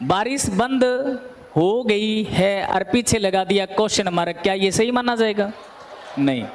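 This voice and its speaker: Against noticeable background noise, a man speaks at a high pitch with ordinary pitch variation and very even loudness. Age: 30s. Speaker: coaching teacher. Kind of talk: classroom lecture. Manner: animated.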